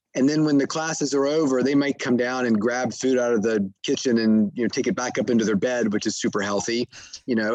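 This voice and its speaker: This man has a plain, everyday voice pitched in the medium range. He moves along fairly quickly, and his pitch varies in an ordinary way. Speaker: sleep doctor and author. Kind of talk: interview answering questions. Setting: podcast interview.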